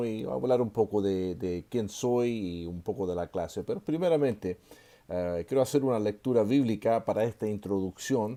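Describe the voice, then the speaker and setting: A man speaks at a moderate pace in a fairly low pitch. His tone is dark and mellow, with ordinary pitch variation. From Chile. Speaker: seminary professor. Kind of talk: online lecture. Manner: hesitant with many fillers.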